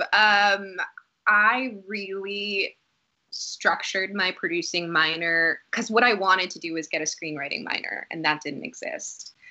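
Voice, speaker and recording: A woman with an American accent speaks at a fairly slow pace and medium pitch, with ordinary pitch variation and big swings in loudness. It is an unremarkable speaking voice. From Boston area, Massachusetts. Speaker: actor. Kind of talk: casual chat.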